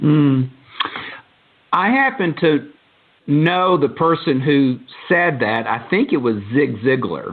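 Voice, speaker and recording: With a strong Southern accent, a man talks at a very slow pace with long, frequent pauses, a fairly high pitch, ordinary pitch variation and very even loudness. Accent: Southern, he calls it thick. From Texas, Dallas. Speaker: podcast host. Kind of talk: interview. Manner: hesitant, many fillers.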